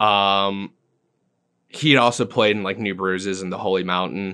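Speaking with an American accent, a man uses a fairly low pitch and a bright, sharp tone, moving at a fairly slow pace with fairly even intonation and long, frequent pauses against a quiet background. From England and US, military family. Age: 20s. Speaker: musician and bartender. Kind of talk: casual chat.

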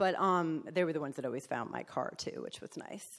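A woman with a New Jersey accent speaks at a very fast pace. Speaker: recovering alcoholic. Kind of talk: testimony. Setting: stage with audience. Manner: loud.

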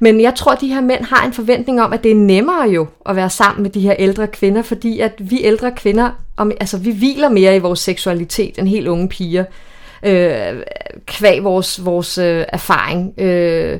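At a fairly slow pace, a woman talks in an unremarkable speaking voice of medium pitch. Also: ordinary pitch variation. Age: 40s. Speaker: single woman sharing dating stories. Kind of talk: casual chat. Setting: at a women's party.

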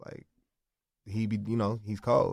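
A plain, everyday voice with an American accent speaks at a moderate pace in a very clean recording with a silent background. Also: man. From South Central Los Angeles. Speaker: rapper. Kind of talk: casual interview chat.

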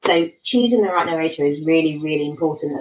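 A woman speaks at a fairly quick pace in a fairly low pitch. Her pitch varies in an ordinary way. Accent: southern English. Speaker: romance author. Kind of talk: casual interview.

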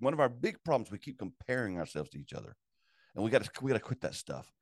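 A man's medium-pitched voice with vocal fry, in a dry, close sound with no echo and a quiet background. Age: 60s. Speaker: executive director of a pastor support network. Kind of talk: casual interview.

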